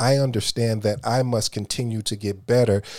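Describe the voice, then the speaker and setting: On a very clean recording with a silent background, a man with a plain, everyday voice speaks at a medium pitch and moderate pace, his intonation fairly even and the sound dry and close with no echo. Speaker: podcast host. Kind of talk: motivational monologue.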